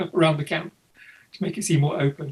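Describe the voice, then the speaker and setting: This man has an English Midlands accent and a fairly high pitch. He talks at a very fast pace. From East Midlands, England (Leicestershire). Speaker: photographer. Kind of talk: interview. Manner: halting.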